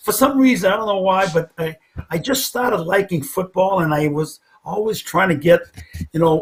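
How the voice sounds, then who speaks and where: This man speaks in an American accent at a moderate pace. His pitch is high. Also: ordinary pitch variation. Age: 70s. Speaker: football coach. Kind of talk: interview. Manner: halting.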